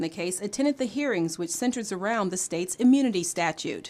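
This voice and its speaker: A woman talks at a fairly quick pace with lively intonation in a plain, everyday voice. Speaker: TV news anchor and reporter. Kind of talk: TV news anchor and reporter delivery.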